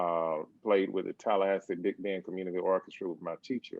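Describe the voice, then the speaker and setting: With an Alabama accent, a man talks at a fairly quick pace. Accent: Southern US (Alabama). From US South, Birmingham, Alabama. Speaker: percussion professor. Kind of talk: interview.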